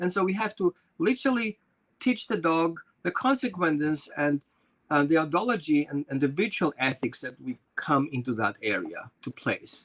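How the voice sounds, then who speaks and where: A man with a non-native accent speaks at a fairly high pitch and a moderate pace, swinging his pitch very widely. The sound is dry and close, with no echo. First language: not English. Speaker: dog trainer. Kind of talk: interview.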